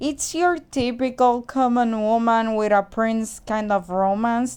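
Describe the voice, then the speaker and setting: A woman with a Spanish accent at a very slow pace, fairly high in pitch with ordinary variation, on a very clean recording with a silent background. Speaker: movie reviewer. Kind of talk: casual review monologue.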